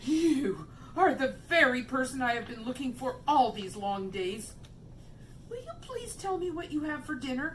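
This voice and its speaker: A woman uses a put-on character voice, high in pitch and at a moderate pace, with clear background noise. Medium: read story. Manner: polite, eager.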